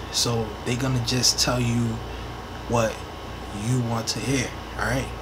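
There is noticeable background noise. A man speaks at a fairly slow pace. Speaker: vlogger. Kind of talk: casual vlog chat. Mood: earnest, a bit defensive. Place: home room. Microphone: earbuds.

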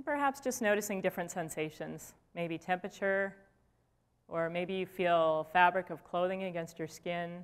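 At a moderate pace, a woman speaks in an unremarkable speaking voice. Her fairly low pitch shows ordinary pitch variation. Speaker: clinical psychologist and professor; lecturer. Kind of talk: guided meditation. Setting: lecture hall with audience. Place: hall.

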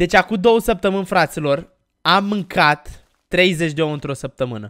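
A man talks in a high, animated voice at a fairly slow pace. The background is quiet. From Romania. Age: 20s. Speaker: gaming YouTuber; gaming youtuber. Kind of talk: Let's Play commentary; casual gaming commentary. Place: home room.

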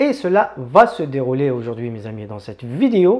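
Against a quiet background, the voice makes very wide pitch swings. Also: man. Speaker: tech youtuber. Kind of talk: tutorial intro, casual vlog chat. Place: home room. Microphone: lapel.

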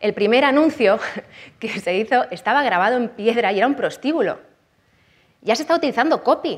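A woman with a high pitch talks at a fairly quick pace, using an animated tone and lively intonation. She takes long, frequent pauses against a quiet background. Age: 30s. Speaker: copywriting expert and conference speaker; conference speaker. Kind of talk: conference talk. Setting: stage with audience. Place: hall.

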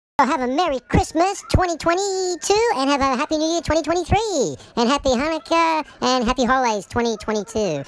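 Delivered in a put-on character voice, the high-pitched speech moves at a fairly quick pace with hardly any pauses. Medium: role play. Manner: upbeat, chatty.

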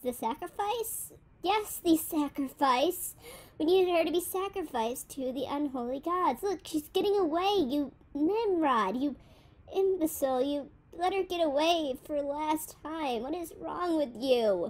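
This is a put-on character voice. It sits high in pitch and moves at a moderate pace. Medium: audio drama. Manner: angry, scolding, exasperated.

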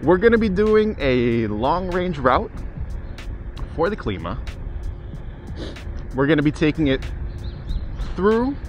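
Over music in the background, a man with a high pitch swings very widely in pitch, the sound dry with no echo. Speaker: scooter ride vlogger. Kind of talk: casual vlog chat. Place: street.

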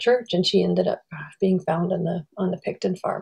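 Over a quiet background, a woman's dark, mellow voice carries vocal fry. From northern British Columbia, First Nations village. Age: 50s. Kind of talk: personal reflection. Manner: halting, many repetitions and fillers. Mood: somber, reflective. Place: home room. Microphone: webcam.

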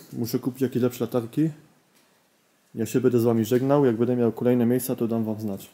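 This man talks very fast in a medium pitch, his dark, mellow tone held to a monotone, flat intonation. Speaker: urban explorer vlogger. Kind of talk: walkthrough vlog narration. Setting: abandoned building at night.

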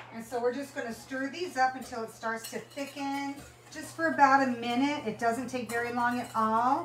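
A high-pitched woman at a moderate pace, with audible room echo and light background noise. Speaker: home cook host. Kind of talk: tutorial. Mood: cheerful and friendly. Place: kitchen. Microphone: camera far.

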